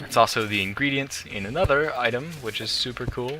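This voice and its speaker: A man speaks with music playing in the background. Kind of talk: let's play commentary. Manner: fast.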